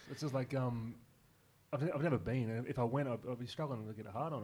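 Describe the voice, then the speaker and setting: At a very fast pace, a man talks with a medium pitch and ordinary pitch variation. His voice is somewhat breathy. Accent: Australian. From Newcastle region, New South Wales, Australia. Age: 30s. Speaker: comedian. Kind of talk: casual chat.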